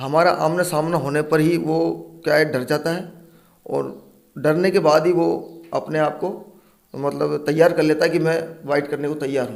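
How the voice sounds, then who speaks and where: A man speaks with a fairly high pitch. There is vocal fry in his voice. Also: fairly even intonation. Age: 40s. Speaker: snake catcher. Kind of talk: interview.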